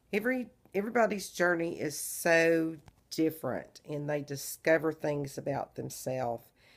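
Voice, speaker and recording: With a Southern US accent, a woman uses very wide pitch swings at a fairly low pitch and a fairly slow pace, on a very clean recording with a silent background. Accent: Southern drawl. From Texas. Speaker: vlogger. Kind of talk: casual video diary.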